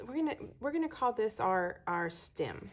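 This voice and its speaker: The speaker is a woman. She talks with a Texas accent. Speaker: astrology teacher. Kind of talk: lecture. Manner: casual, folksy.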